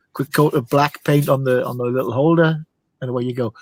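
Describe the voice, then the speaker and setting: This man has a fairly high pitch and fairly even intonation, in a plain, everyday voice. The sound is dry and close, with no echo. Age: 60s. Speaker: car hobbyist. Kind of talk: casual chat.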